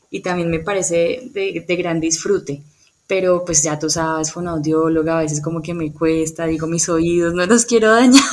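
An unremarkable speaking voice from a woman, fairly low in pitch, with ordinary pitch variation and a moderate pace. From Colombia, Cali. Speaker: speech therapist and music therapist. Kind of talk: interview.

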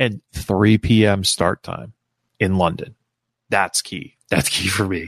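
A man with an American accent speaks at a very slow pace, his pitch fairly low with ordinary variation. The sound is dry and close, with no echo. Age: 40s. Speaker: wrestling podcast host. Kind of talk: solo podcast commentary.

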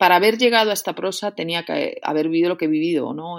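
A woman's voice with ordinary pitch variation. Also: very clean recording, silent background. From Spain, León region. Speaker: poet, novelist and creative writing professor. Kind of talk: interview. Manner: halting, many fillers and repetitions.

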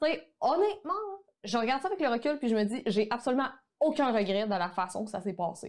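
A woman speaks at a fairly quick pace with a high pitch. Her pitch swings very widely. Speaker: online photography course entrepreneur. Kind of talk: casual interview conversation.

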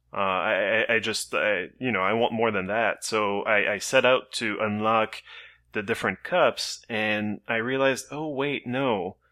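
With a normal speaking voice, a man talks at medium pitch with ordinary pitch variation. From Canada. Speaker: podcast co-host. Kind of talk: casual chat.

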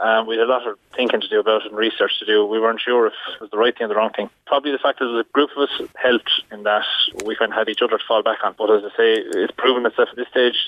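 Speaking very fast with a Waterford Irish accent, a man keeps a medium pitch and a monotone, flat intonation. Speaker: dairy farmer. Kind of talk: radio interview. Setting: phone call.

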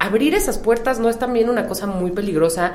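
A woman talks at a fairly high pitch and a fairly quick pace. Noticeable background noise and audible room echo surround her. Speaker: podcast host. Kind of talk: interview. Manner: casual.

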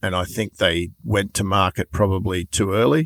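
The recording is very clean with a silent background and a dry, close sound with no echo, carrying a voice with an Australian accent. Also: man. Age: 60s. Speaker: trials bike importer and dealer. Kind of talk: interview.

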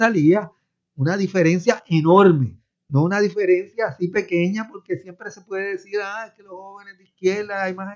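This is a man talking. His voice is pitched high. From Puerto Rico. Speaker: professor. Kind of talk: radio panel discussion.

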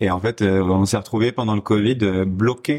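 A man with a normal speaking voice, a fairly low pitch, fairly even intonation, and a fairly slow pace. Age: 20s. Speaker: pastry chef and restaurant co-owner. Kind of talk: casual interview chat.

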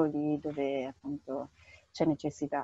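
In a dry, close sound with no echo, a woman with a very deep, low pitch speaks at a fairly slow pace in a monotone, flat way. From northern Italy, Bergamo. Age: 30s. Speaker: humanitarian aid worker. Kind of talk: interview.

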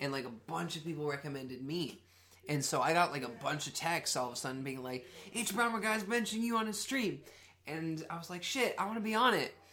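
Audible room echo surrounds a man speaking at a fairly quick pace. His fairly high voice has an animated tone and very wide pitch swings. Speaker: podcast co-host. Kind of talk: casual chat.

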